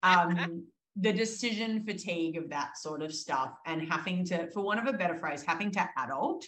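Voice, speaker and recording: In an Australian accent, a woman with a fairly low pitch and ordinary pitch variation speaks at a moderate pace. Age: 30s. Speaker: exercise physiologist. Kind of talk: interview.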